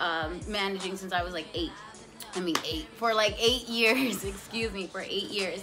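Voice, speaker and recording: Speech moves at a moderate pace with ordinary pitch variation. Music is clearly audible in the background. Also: woman. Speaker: cannabis vlogger. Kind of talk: casual vlog chat.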